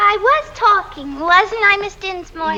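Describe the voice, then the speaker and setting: A woman's put-on character voice, extremely high, squeaky, shrill, and nasal, at a moderate pace over clear background noise. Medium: short film. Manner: whiny, petulant.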